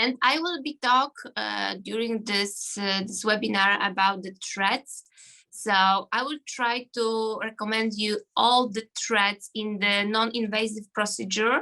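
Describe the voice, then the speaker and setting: In a Polish accent, a woman speaks at a fairly slow pace with a fairly high pitch. Her tone is bright and sharp, with ordinary pitch variation. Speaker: gynecologist. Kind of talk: self-introduction. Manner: halting.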